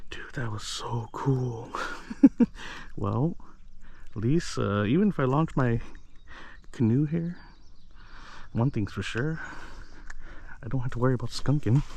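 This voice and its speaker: This somewhat breathy voice moves at a fairly slow pace with long, frequent pauses and ordinary pitch variation. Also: man, medium pitch for a man. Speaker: fishing vlogger. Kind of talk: casual vlog narration. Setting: outdoors by a lake. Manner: excited, animated.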